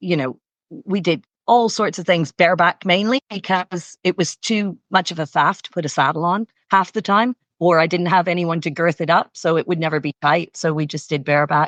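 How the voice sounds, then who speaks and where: With a slight Canadian accent, a woman speaks at a moderate pace, her fairly low pitch showing ordinary variation. The sound is dry and close with no echo, over a quiet background. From Canada. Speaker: equestrian coach. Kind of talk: interview.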